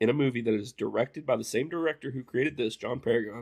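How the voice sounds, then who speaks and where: In an Appalachian accent, a man speaks at a moderate pace with a medium pitch and ordinary pitch variation, on a very clean recording with a silent background and a dry, close sound with no echo. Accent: Appalachian twang. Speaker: movie commentary host. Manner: casual, rambling.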